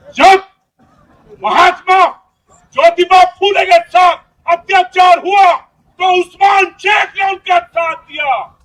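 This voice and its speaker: A man's extremely high-pitched voice, broken by long, frequent pauses. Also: fairly even intonation. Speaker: rally speaker. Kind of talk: political speech. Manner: fiery.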